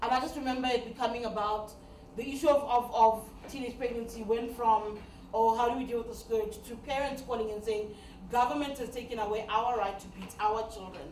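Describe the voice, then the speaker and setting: Fairly high-pitched and animated, a woman talks at a fairly quick pace with big swings in loudness, audible room echo and noticeable background noise. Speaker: media trainer and radio presenter. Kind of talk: training workshop talk. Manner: fast.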